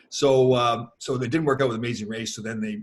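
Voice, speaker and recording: Very fast speech from a man with a Canadian accent, his medium-pitched voice somewhat breathy. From Canada. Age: 60s. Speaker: former hockey player. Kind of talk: interview. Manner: animated.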